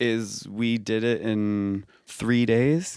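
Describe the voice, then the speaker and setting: This is a man speaking at a medium pitch. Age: 30s. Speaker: musician. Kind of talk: interview. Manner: halting.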